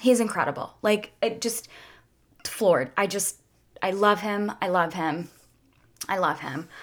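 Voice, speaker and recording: A woman with a medium-pitched voice and ordinary pitch variation talks at a fairly slow pace, leaving long, frequent pauses. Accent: American. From suburban Philadelphia, Pennsylvania. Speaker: podcast host. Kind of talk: solo monologue podcast. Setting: studio microphone recording. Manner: halting; quiet when angry.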